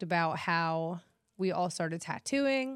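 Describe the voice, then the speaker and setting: A woman's fairly low-pitched, normal speaking voice at a fairly slow pace. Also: very clean recording, silent background. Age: 30s. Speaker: tattoo artist and podcast host. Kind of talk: casual chat.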